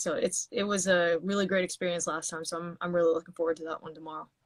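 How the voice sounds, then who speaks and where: A woman's fairly low-pitched voice. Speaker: singer-songwriter. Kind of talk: interview. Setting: Instagram live stream.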